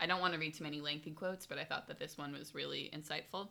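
Bright, sharp tone with vocal fry. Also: woman. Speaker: podcast host. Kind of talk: casual chat.

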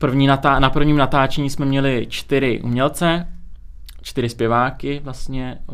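A man speaks in a monotone, flat way at a very slow pace, with audible room echo. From Czech Republic (born in Azerbaijan, moved as infant). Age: 20s. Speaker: music video studio owner. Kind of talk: casual interview.

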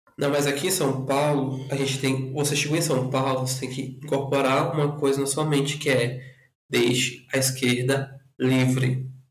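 A man's fairly high, monotone, flat voice at a moderate pace, with audible room echo. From northern Brazil (Rondônia and Acre). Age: 20s. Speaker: podcast guest. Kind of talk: casual chat.

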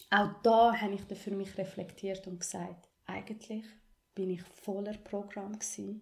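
In a dark, mellow, somewhat breathy tone, the speaker goes at a fairly slow pace with monotone, flat intonation. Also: woman. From Ethiopia, moved to Switzerland at twelve. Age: 20s. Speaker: podcast host, activist and coach. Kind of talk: personal testimony interview.

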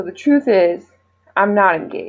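At a moderate pace, a woman speaks at medium pitch in an unremarkable speaking voice. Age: 20s. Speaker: physician assistant student, listener. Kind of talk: recorded voice message.

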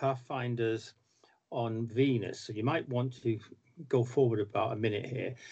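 A man speaks with a somewhat breathy voice. His pace is fairly slow. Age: 60s. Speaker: comics writer. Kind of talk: casual chat.

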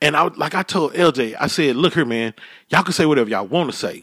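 In a very clean recording with a silent background, a man with an unremarkable speaking voice and fairly high pitch talks at a moderate pace with lively intonation, the sound dry and close with no echo. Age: 40s. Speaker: podcast host. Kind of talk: casual chat.

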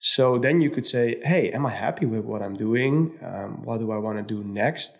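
Speaking at a moderate pace, a man uses a medium pitch with ordinary pitch variation. He leaves hardly any pauses. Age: 30s. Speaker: DJ and music producer. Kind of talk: casual interview. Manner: hesitant, many fillers.

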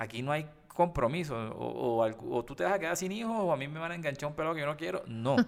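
Fairly high for a man, this ordinary speaking voice moves at a fairly quick pace with lively intonation. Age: 30s. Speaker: podcast co-host. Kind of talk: casual chat.

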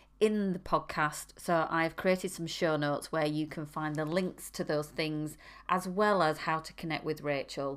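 Here a woman speaks at a moderate pace, her pitch fairly low with ordinary variation. The recording is very clean and the background silent. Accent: northern English. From northern England. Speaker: podcast host. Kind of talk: interview conversation.

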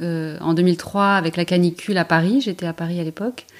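A woman at a medium pitch uses an unremarkable speaking voice with fairly even intonation. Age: 40s. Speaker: emergency doctor. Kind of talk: interview.

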